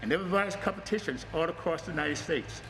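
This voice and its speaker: With lively intonation and a fairly quick pace, a man talks at a high pitch over noticeable background noise. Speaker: martial arts instructor. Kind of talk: promotional talk. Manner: loud.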